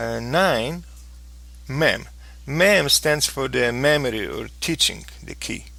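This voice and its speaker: Speaking at a very slow pace with a non-native accent, a man leaves long, frequent pauses. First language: not English. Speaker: flight simulator tutorial maker. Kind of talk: tutorial. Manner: halting.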